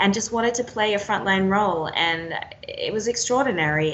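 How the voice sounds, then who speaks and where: With an Australian accent, a woman talks at a moderate pace with ordinary pitch variation over noticeable background noise. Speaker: war and foreign correspondent. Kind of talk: interview answer.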